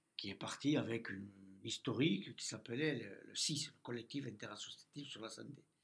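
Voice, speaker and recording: A man speaks at a moderate pace with ordinary pitch variation. His loudness swings widely. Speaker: president of a patients' association. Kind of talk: interview.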